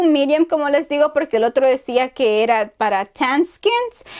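A woman speaks in a high voice. Her pace is moderate. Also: quiet background. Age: 30s. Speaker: beauty youtuber. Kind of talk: product review haul. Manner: animated. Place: home room. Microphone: lapel.

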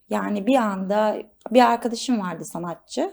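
A woman speaks at a fairly slow pace. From Istanbul, Turkey. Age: 20s. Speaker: model and stylist. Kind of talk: studio interview. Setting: studio.

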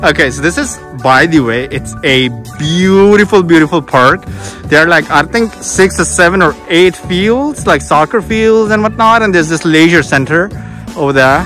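Clear music plays behind a man whose pitch sits high for a man. He talks at a moderate pace, and the sound is dry with no echo. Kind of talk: casual vlog chat. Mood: relaxed, cheerful. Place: open country. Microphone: phone near.

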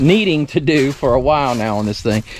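A man is heard with light background noise in a dry sound that has no echo. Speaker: homestead tractor owner. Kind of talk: casual vlog chat. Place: garden. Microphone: phone near.

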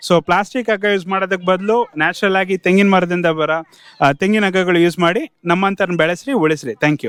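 In a dry, close sound with no echo, a man's high-pitched voice holds very even loudness with ordinary pitch variation. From Karnataka, Chitradurga district. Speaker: small factory owner. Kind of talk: interview.

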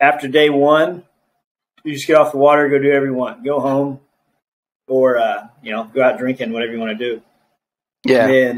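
Talking fairly quickly, this man keeps his intonation fairly even. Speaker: remote podcast guest. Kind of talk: interview answer. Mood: relaxed, friendly. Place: home room. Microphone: video call.

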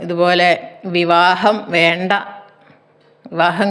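A fairly low-pitched woman's voice amid noticeable background noise and audible room echo. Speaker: storyteller. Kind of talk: storytelling. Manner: halting.

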